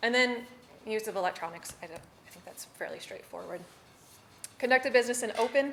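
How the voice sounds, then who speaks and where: Very fast speech from a woman. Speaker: city staff presenter training board members. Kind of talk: training presentation. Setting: public board meeting.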